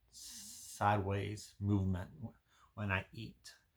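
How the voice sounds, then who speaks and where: Somewhat breathy, a man speaks at a very slow pace with fairly even intonation and a fairly low pitch. The recording is very clean, with a silent background. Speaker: health vlogger. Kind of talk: personal health vlog. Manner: halting, repeats words.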